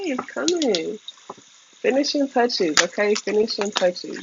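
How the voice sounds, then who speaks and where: A moderately paced, animated delivery over noticeable background noise. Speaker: tarot reader. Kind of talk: tarot reading.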